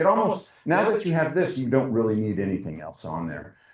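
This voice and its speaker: Fairly quick, lively-toned speech from a man. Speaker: presenter at a forestry council meeting. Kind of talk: presentation with slides. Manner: fast.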